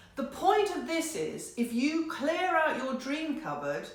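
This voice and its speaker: A woman speaks at a very slow pace. Audible room echo and noticeable background noise surround her. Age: 60s. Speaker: card reader, painter. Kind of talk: card reading for viewers. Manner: conversational, some hesitations.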